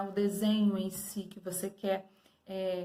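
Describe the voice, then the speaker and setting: A woman speaking at a very slow pace. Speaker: art teacher. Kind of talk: lesson review for students.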